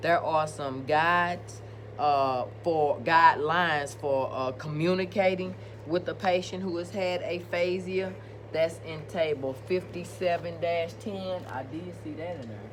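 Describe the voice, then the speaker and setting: A woman with an American accent, a very deep, low pitch, very wide pitch swings, big swings in loudness and a fairly slow pace, with audible room echo and noticeable background noise. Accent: country, rural US. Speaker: nursing instructor. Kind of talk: lecture. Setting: recorded video presentation.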